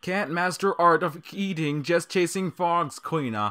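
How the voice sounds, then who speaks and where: Over a silent background in a very clean recording, a man uses a put-on character voice. His pitch is high and his pace fairly slow. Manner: scolding, mocking.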